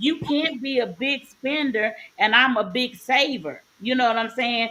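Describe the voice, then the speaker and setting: In a strong Southern US accent, a woman talks in a high pitch at a fairly slow pace, animated in tone with ordinary pitch variation. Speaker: podcast co-host. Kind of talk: casual chat.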